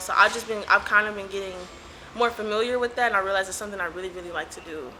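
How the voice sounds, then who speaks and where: This woman has a Los Angeles accent. Her intonation stays fairly even. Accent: Los Angeles accent, drawn-out. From Los Angeles, Compton. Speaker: community organizer. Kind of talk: interview. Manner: casual, hesitant with fillers.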